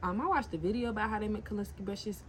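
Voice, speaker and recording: Clear background noise accompanies a woman whose delivery sounds animated. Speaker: nail tech and entrepreneur vlogger. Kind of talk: casual vlog tutorial.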